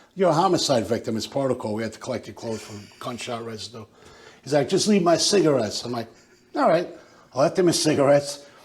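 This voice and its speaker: Speaking at a very fast pace, a man with an American accent uses a medium pitch, ordinary pitch variation, and a somewhat breathy quality. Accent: working-class Yonkers, drops R's. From Yonkers, New York. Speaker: retired police detective. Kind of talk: casual chat. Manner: animated.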